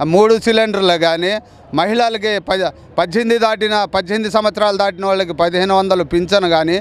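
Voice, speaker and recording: High-pitched male speech, its intonation fairly even. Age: old. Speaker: local party worker. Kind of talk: street interview. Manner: halting, many restarts.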